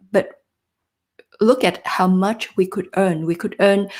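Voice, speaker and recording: This woman has a dark, mellow tone and a medium pitch, speaking with a non-native accent. Her pace is moderate and her pitch varies in an ordinary way. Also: very clean recording, silent background. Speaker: job search coach. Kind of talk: live stream talk to viewers. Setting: live stream.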